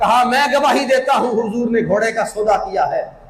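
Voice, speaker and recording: A man speaks over noticeable background noise. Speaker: Islamic scholar / mufti giving Friday sermon. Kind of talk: Urdu sermon narrating a story from early Islamic history. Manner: passionate, preaching.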